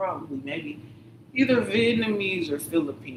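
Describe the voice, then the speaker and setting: The speaker has an American accent. Noticeable background noise can be heard. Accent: others say she sounds southern. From Michigan, Detroit. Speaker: livestreamer. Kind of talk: casual monologue. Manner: rambling, self-interrupting.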